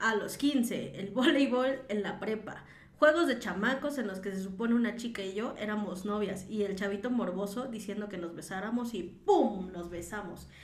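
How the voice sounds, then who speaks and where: A woman's medium-pitched voice at a moderate pace with hardly any pauses and ordinary pitch variation, amid noticeable background noise and audible room echo. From Mexico City. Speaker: podcast co-host. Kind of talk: casual chat. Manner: laughs often.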